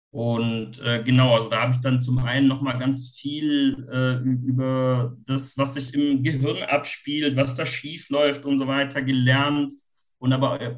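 A man with a medium pitch speaks in a monotone, flat way at a fairly slow pace, with hardly any pauses. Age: 40s. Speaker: self-help group leader with OCD. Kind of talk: casual interview. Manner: halting.

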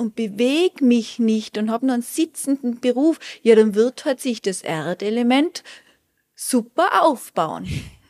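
Speaking at a very slow pace, a woman with a high pitch uses lively intonation. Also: dry, close sound with no echo. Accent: Tyrolean. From Austria, Tyrol. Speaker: Ayurveda specialist and resort manager. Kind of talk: interview. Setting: on location at a hotel.

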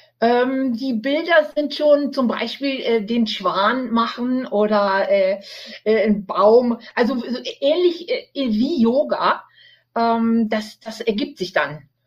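Over music in the background, a woman talks very slowly at a fairly high pitch. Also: lively intonation. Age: 60s. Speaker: cancer survivor and author. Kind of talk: interview. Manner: hesitant with fillers.

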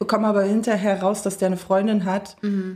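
At a moderate pace, a woman speaks in a flat monotone at a medium pitch. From Berlin, Germany. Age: 20s. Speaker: social work student. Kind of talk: casual chat. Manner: loud.

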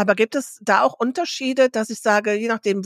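A woman's plain, everyday voice, fairly high in pitch and fairly quick, with a dry, close sound with no echo in a very clean recording with a silent background. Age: 50s. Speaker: podcast co-host. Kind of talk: casual chat. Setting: studio.

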